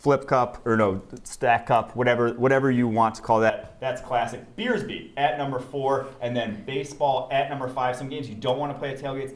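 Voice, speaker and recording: Over noticeable background noise, a medium-pitched man with an American accent talks at a fairly quick pace, with hardly any pauses and fairly even intonation. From US Midwest, Wisconsin. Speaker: sports betting podcaster. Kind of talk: casual chat.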